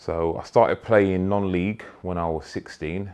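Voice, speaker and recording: A man speaks fairly slowly in a London accent. His voice is very deep and low, with a dark, mellow tone. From London (Peckham). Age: 30s. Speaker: footballer, club captain. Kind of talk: interview. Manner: halting.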